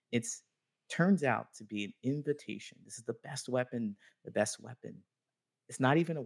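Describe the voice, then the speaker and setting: Recorded in a dry, close sound with no echo, a man with an American accent and medium pitch speaks at a moderate pace with ordinary pitch variation, vocal fry, big swings in loudness and long, frequent pauses. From US Midwest (small-town Ohio). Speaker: friendship coach. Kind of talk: interview.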